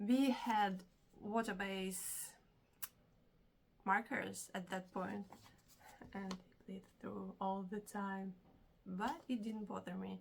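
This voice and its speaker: At a very slow pace with long, frequent pauses, a woman with a non-native accent speaks in a somewhat breathy voice of medium pitch. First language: not English. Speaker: hobby vlogger. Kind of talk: casual vlog. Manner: animated.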